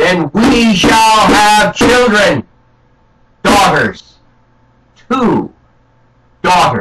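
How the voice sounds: A man's put-on character voice, high in pitch and very slow in pace.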